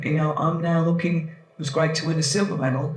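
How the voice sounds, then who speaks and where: A man speaks in a fairly high voice. Audible room echo and noticeable background noise surround him. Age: 60s. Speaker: panel expert, triathlete and coach. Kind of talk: panel talk, personal story. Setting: event panel with audience.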